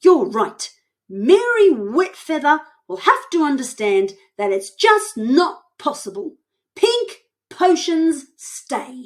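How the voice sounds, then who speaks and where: Using a put-on character voice, a woman speaks at a high pitch with very wide pitch swings and a very slow pace. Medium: read story.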